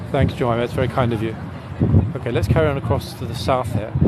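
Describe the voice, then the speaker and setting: A man speaks at a very fast pace. Noticeable background noise and audible room echo surround his voice. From England. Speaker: walking tour guide. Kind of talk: live-streamed guided walking tour. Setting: outdoors, walking on city streets. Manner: casual, with many fillers.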